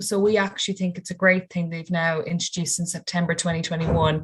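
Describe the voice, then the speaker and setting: In a western Irish accent, a woman speaks at a fairly quick pace and medium pitch, somewhat breathy. Her intonation stays fairly even against a quiet background. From Ireland, County Mayo. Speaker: university student. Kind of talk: webinar Q&A.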